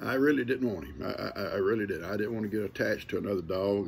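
Over light background noise, a man talks at a fairly low pitch with vocal fry. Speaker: grandfather storyteller. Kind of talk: casual storytelling. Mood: relaxed, amused. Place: home room. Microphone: phone near.

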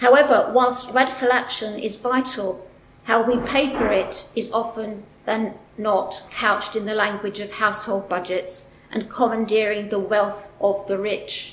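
With audible room echo around her, a woman speaks at a fairly slow pace in a fairly high pitch. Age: 60s. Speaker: activist event organiser. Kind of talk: prepared speech. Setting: stage with audience. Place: hall. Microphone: podium.

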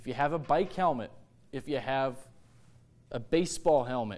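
A man with a fairly high pitch speaks at a moderate pace, with ordinary pitch variation. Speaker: television meteorologist. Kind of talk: tornado warning coverage. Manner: urgent, emphatic. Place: studio. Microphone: lapel.

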